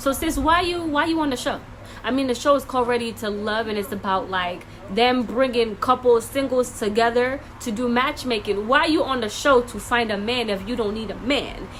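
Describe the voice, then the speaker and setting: A woman's high-pitched, animated voice against noticeable background noise. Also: ordinary pitch variation, moderate pace. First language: not English. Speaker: reaction video creator. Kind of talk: reaction commentary.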